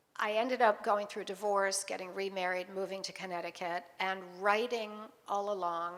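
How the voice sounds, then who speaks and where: A woman talks at a medium pitch and a moderate pace, with fairly even intonation. It is an unremarkable speaking voice. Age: 60s. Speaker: author. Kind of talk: interview at book launch event.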